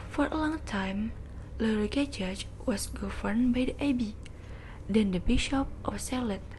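Over noticeable background noise, a woman with a non-native accent and a fairly high pitch talks at a fairly slow pace with ordinary pitch variation. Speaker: student podcaster. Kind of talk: reading aloud.

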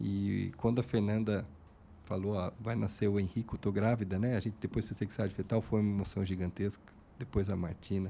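A man with a dark, mellow tone and fairly low pitch, speaking at a fairly quick pace with fairly even intonation. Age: 40s. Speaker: podcast host, lab owner. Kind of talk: casual interview.

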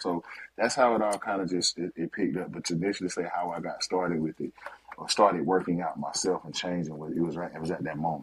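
Against noticeable background noise, a man with a very deep, low pitch talks at a fairly quick pace with fairly even intonation. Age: 40s. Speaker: fitness coach. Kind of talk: casual interview.

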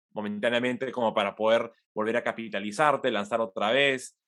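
A man talks at a medium pitch with fairly even intonation in a plain, everyday voice. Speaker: innovation executive and podcaster. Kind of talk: interview.

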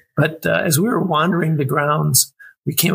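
This man's voice sits fairly high in pitch, with vocal fry and ordinary pitch variation. The sound is dry and close, with no echo. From Wisconsin, US Midwest. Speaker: military veteran. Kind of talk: casual interview chat.

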